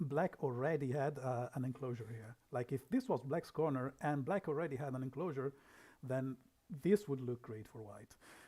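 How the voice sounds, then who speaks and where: A man with a dark, mellow, somewhat breathy tone speaks in a medium pitch. His pace is moderate and his pitch variation ordinary. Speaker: league manager. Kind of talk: game review livestream. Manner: soft-spoken.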